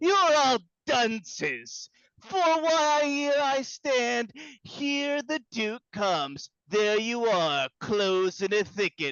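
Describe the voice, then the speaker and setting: Someone puts on a character voice with a fairly high pitch, speaking very slowly. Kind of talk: play reading. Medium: audio drama. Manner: blustering, scolding.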